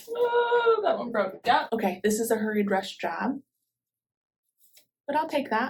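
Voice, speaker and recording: Music plays in the background. Over it, a woman speaks. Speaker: gardening channel host. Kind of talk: tutorial. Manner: fast.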